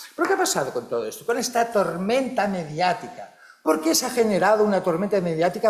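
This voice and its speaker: High-pitched male speech, fairly quick and with lively intonation, over noticeable background noise. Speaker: psychology researcher and professor. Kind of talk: conference talk. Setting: conference hall with audience and interpreters. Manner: animated.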